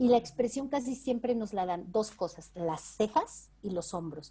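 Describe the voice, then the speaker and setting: Her tone is dark and mellow. This woman speaks at a fairly slow pace with lively intonation. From Mexico. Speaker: voice actress and dubbing director. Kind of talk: interview answer.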